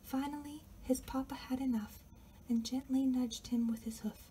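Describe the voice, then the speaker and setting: Soft-spoken delivery at a fairly slow pace over light background noise. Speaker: author reading own book. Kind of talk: ASMR story reading, quiet storytime. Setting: home recording with air conditioner noise and outside neighborhood noise. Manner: quiet, soft-spoken.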